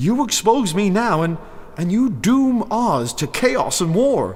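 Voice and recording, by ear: A man puts on a character voice, pitched high and swinging widely in pitch. He talks slowly over faint background noise.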